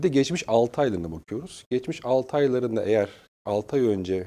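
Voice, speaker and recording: The voice belongs to a man. His intonation is lively. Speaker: human resources director; guest. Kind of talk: interview. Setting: studio. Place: studio. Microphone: lapel.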